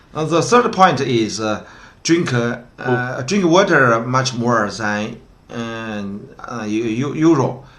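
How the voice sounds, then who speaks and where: With lively intonation at a very slow pace, a man speaks at a medium pitch amid audible room echo. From northwest China, Gansu province. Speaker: translation company founder and interpreter. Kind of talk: casual discussion. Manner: halting, many fillers.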